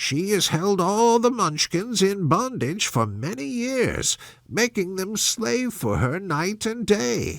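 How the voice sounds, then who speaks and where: In a very clean recording with a silent background, a man does a put-on character voice pitched high, at a fairly slow pace with hardly any pauses. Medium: read story. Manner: calm, kindly.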